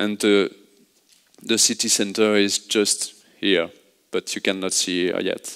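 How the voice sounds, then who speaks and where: A man with a French accent speaks at a fairly slow pace in a fairly low pitch. His intonation is monotone and flat, broken by long, frequent pauses. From France. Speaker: urban planning consultant. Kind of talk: conference presentation. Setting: stage with audience. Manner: halting.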